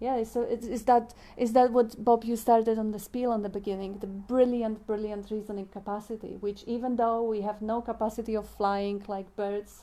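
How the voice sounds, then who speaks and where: A woman with a non-native accent speaks at a moderate pace with hardly any pauses, her fairly high voice dark and mellow in tone yet monotone and flat in intonation. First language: not English. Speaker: spiritual discussion moderator. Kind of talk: spiritual group discussion. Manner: halting.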